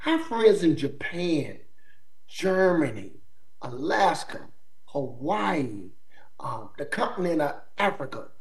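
Noticeable background noise sits behind a man with an American accent who speaks very slowly at a high pitch, his pitch swinging very widely. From US South, eastern North Carolina. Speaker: army sergeant major. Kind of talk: interview. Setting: remote call.

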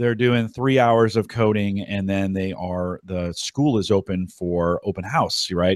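This is a man with a normal speaking voice. His pitch varies in an ordinary way. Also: very clean recording, silent background. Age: 40s. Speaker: podcast host. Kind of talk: casual chat. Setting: live video stream.

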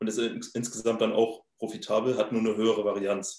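A man speaks at a fairly slow pace. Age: 20s. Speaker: crypto trader and startup founder. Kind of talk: interview. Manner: halting, many filler sounds.

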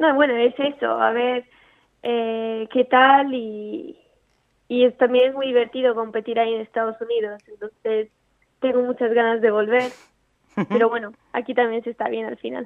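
A woman speaks at a moderate pace with a fairly high pitch. Her intonation stays fairly even. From Italy, raised partly in Andalusia. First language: Italian (speaking Spanish). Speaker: amateur golfer. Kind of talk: interview.

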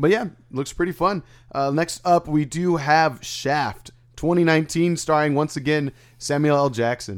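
A man uses a normal speaking voice, fairly high in pitch, at a moderate pace with ordinary pitch variation. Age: 30s. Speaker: podcast host. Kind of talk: casual chat. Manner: casual, slangy.

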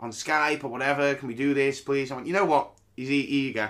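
On a very clean recording with a silent background, a man with a British accent and a fairly high pitch talks at a fairly quick pace. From UK. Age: 30s. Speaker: podcast host and comedian. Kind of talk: casual solo podcast monologue.

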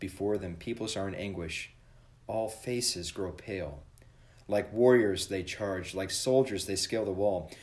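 This man has a normal speaking voice, fairly low in pitch with ordinary pitch variation. He talks at a moderate pace. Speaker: church podcast host leading devotion. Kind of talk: devotional with prayer and scripture reading; fervent prayer, earnest and reverent. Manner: formal, warm.

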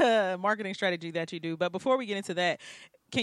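In a very clean recording with a silent background, a normal speaking voice shows ordinary pitch variation. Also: woman. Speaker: radio host. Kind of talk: radio interview.

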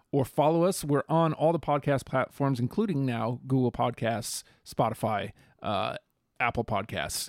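In a normal speaking voice, a man with an American accent talks at medium pitch and a moderate pace, with ordinary pitch variation. The sound is dry and close with no echo, on a very clean recording with a silent background. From New York, US. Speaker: podcast co-host. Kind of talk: casual chat.

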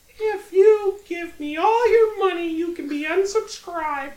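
In a put-on character voice, the speaker sounds squeaky and extremely high-pitched at a moderate pace. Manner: playful, joking.

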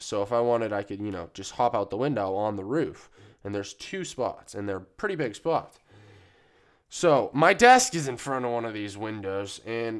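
A man talks at a moderate pace in a relaxed tone. The recording is very clean, with a silent background. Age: 20s. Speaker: podcast host. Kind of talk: casual solo monologue. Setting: studio. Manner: rambling, filler-heavy, relaxed.

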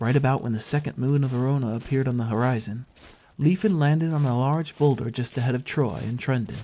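Voice of natural reading

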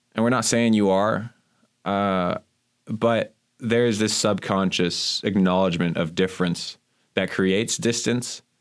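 A man with an unremarkable speaking voice talks at a fairly slow pace in a fairly low pitch, with very even loudness and fairly even intonation, on a very clean recording with a silent background. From Miami, Florida. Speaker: divinity graduate student. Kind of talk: casual chat.

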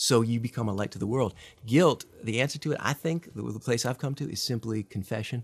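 Somewhat breathy and very fast, a man talks at medium pitch with ordinary pitch variation on a very clean recording with a silent background. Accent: American. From US Midwest. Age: 40s. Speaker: nonprofit leader. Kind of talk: casual interview. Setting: studio.

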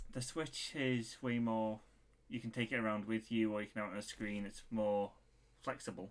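The man talks at a moderate pace with a medium pitch. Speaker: podcast co-host. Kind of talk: casual chat.

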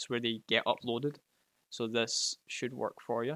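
A man speaks with a Glasgow accent at a medium pitch and a moderate pace. His tone is bright and sharp, and the sound is dry and close with no echo. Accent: Scottish, Glasgow. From Scotland. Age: 20s.

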